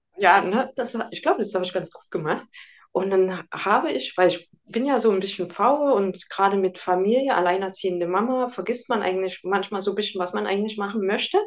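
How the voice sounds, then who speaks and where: Using an unremarkable speaking voice, a woman talks at a fairly quick pace. Her medium pitch has ordinary variation. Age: 40s. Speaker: nutrition consultant. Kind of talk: interview.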